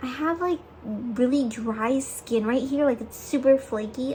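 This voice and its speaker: A woman talks at a fairly slow pace with ordinary pitch variation. Noticeable background noise can be heard. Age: 20s. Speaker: lifestyle vlogger. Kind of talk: casual chat. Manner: casual, filler-heavy.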